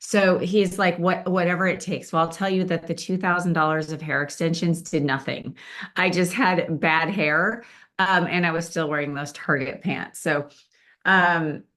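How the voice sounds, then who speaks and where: Against a quiet background, a woman with an ordinary speaking voice talks at a moderate pace, fairly low in pitch, with fairly even intonation. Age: 60s. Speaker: event speaker sharing weight-loss story. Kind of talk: testimony talk to live audience. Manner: casual, with many fillers.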